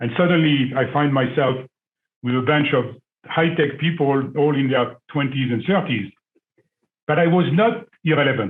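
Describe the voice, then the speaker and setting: A man with a French accent talks at a fairly high pitch with ordinary pitch variation. His loudness stays very even, broken by long, frequent pauses. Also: moderate pace. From France. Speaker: business school alumnus, former executive. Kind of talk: panel discussion.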